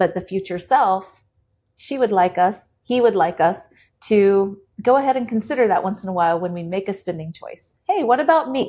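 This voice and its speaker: Over a quiet background, this dark, mellow voice moves at a moderate pace with lively intonation and big swings in loudness. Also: woman, medium pitch for a woman. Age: 40s. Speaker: economist and educator. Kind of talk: interview conversation.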